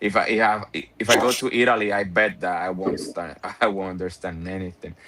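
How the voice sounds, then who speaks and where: In a Spanish accent, a man speaks fairly quickly at a fairly low pitch with a bright, sharp tone. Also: fairly even intonation. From Puerto Rico. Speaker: car window tinter and content creator. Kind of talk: casual chat.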